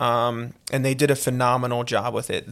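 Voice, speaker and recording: A man with a Philadelphia accent at a moderate pace, on a very clean recording with a silent background. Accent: Philadelphia-area American. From Conshohocken, Pennsylvania (Philadelphia area). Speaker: college lacrosse head coach. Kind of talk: casual interview.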